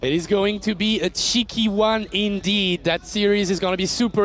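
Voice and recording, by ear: A man's high-pitched, fairly bright voice at a moderate pace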